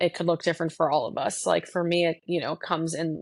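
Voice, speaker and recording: With a slight North Jersey accent, a woman speaks in a fairly low pitch with vocal fry. Her intonation is fairly even, and the background is quiet. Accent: slight North Jersey twang. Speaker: podcast host. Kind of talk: casual conversation.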